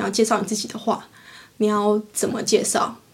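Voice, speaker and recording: There is noticeable background noise. A woman speaks at a moderate pace in a fairly high pitch. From Taiwan. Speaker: podcast co-host. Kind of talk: casual chat.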